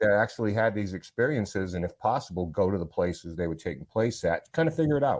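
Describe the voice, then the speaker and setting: A man with an American accent in a plain, everyday voice, fairly low in pitch with lively intonation, in a very clean recording against a silent background. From US Northeast, Rhode Island. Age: 60s. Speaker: paranormal investigator. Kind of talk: casual chat. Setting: home basement studio.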